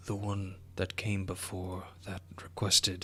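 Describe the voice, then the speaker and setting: A man's fairly low put-on character voice at a fairly slow pace, over clear background noise. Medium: actual play. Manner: polite, formal, archaic phrasing.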